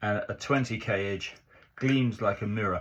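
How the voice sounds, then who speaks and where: Fairly slow delivery in a somewhat breathy voice, its pitch varying in an ordinary way. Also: man. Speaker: razor honing hobbyist. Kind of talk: tutorial demonstration. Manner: casual, halting.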